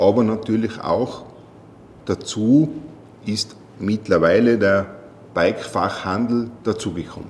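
A man speaks fairly slowly in a fairly low pitch amid noticeable background noise. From Austria, Tyrol. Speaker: sales manager. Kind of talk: interview. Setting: meeting room on location.

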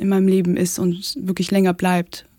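Dark and mellow in tone, a woman's medium-pitched voice moves at a fairly slow pace. The sound is dry and close, with no echo. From Russia. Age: 20s. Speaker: architecture student. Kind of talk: casual chat. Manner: hesitant, many fillers.

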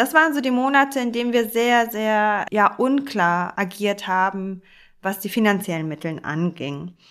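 A woman with an unremarkable speaking voice at medium pitch uses lively intonation at a fairly slow pace, in a very clean recording with a silent background. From Hamburg, Germany. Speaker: architect and charity director. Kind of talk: conversational podcast discussion.

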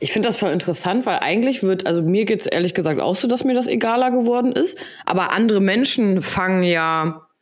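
Fairly quick speech from a woman, medium in pitch, with ordinary pitch variation. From Hamburg, northern Germany. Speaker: podcast co-host. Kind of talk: casual chat.

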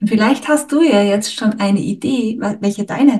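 Somewhat breathy and fairly high in pitch, a woman with a Styrian accent speaks at a fairly slow pace. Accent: Austrian, Styrian. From Austria, Styria. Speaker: podcast host, couples therapist. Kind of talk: casual chat.

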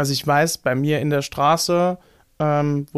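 The speaker has a strong Saarland accent and a moderate pace, with a dry, close sound with no echo on a very clean recording with a silent background. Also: man. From Saarland, Germany. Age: 20s. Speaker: musician and activist. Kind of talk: interview. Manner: halting, many fillers.

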